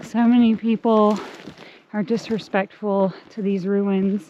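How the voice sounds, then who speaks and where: A woman speaks at a very slow pace in a medium pitch with monotone, flat intonation. Noticeable background noise runs under her voice. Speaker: hiking vlogger. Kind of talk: casual vlog narration. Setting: outdoors on a hiking trail.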